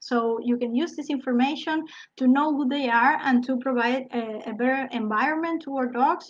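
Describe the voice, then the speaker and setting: A woman with a non-native accent speaks at a moderate pace. Her high-pitched voice has fairly even intonation. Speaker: biologist and PhD researcher. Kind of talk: online talk. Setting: live broadcast. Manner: halting.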